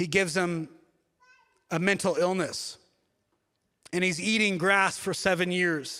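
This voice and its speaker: A raised, projected voice with a bright, sharp tone comes at a moderate pace on a very clean recording with a silent background. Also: man. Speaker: pastor. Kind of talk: sermon. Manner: mumbling.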